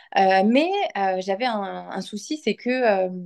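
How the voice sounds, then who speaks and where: A woman speaks against a quiet background. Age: 30s. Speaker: client giving a testimonial. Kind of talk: testimony. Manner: halting, many hesitations. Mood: sincere, reflective. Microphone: phone near.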